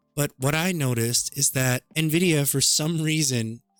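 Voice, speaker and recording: Over background music, a man talks in a fairly high voice with fairly even intonation, the sound dry and close with no echo. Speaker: gaming tech tutorial creator. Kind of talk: tutorial. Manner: casual, conversational.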